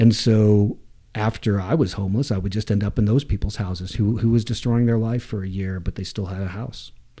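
A man's fairly low, dark, mellow voice at a fairly quick pace, with fairly even intonation, on a very clean recording with a silent background. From US South, Atlanta and Waco, Texas. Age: 40s. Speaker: climbing hold maker, recovering addict. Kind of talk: interview storytelling. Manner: halting, many false starts.

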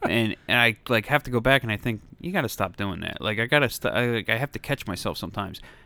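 With hardly any pauses, a man speaks at a very fast pace in a bright, sharp tone at medium pitch with ordinary pitch variation, the sound dry and close with no echo. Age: 40s. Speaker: returning podcast guest. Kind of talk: casual chat.

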